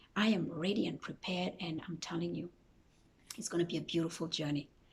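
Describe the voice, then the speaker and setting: A woman is speaking. Her voice has vocal fry. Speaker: motivational YouTuber. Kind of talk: motivational talk; casual Q&A monologue. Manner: animated.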